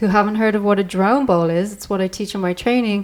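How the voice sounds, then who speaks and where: With an Irish accent, a woman speaks at a fairly quick pace and medium pitch with ordinary pitch variation, in a very clean recording with a silent background. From Ireland. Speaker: sound healer and podcast host. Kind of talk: podcast conversation.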